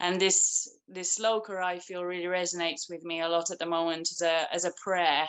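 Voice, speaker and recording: The speaker has an English accent. The intonation is monotone and flat. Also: woman. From England. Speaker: spiritual practitioner. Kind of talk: testimony. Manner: halting.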